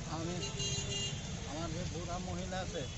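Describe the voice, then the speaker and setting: The sound is dry with no echo, but loud background noise runs behind it. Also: man. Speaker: elderly man denied pension. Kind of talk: interview answer. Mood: plaintive, complaining of hardship. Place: street. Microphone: phone near.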